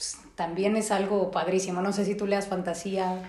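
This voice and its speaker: With a Mexican accent, a woman speaks at a moderate pace and medium pitch, with audible room echo and noticeable background noise. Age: 30s. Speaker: psychologist and podcast host. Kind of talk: casual chat.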